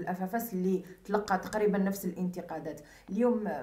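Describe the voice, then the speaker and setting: Against noticeable background noise, a woman with an Algerian accent speaks in a medium pitch at a moderate pace, her intonation fairly even. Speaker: online news interviewer. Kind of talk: interview.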